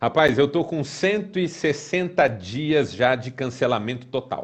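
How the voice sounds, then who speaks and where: A man is speaking. His pace is fairly slow. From São Paulo city, Brazil. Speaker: pastor and author. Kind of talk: casual chat. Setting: live video broadcast.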